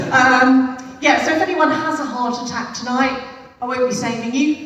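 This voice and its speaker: A woman with an English accent speaks at a moderate pace in a high voice with ordinary pitch variation, and the recording has noticeable background noise and audible room echo. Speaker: stand-up comedian. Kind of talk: stand-up. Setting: stage with audience. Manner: loud; animated.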